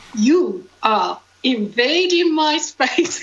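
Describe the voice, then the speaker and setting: Using a put-on character voice, the woman pitches herself high and lets it leap around very widely. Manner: curt, admonishing.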